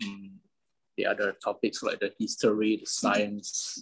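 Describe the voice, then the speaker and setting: At a moderate pace, a man talks with a Medan accent. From Indonesia, Medan. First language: Medan Hokkien. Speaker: interviewee. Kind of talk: interview. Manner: halting.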